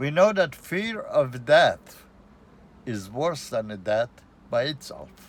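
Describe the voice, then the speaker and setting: A man at a very slow pace, with long, frequent pauses, very wide pitch swings and big swings in loudness. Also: fairly high pitch for a man. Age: 70s. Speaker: vlogger. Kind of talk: casual vlog monologue. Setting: outdoors. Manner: halting.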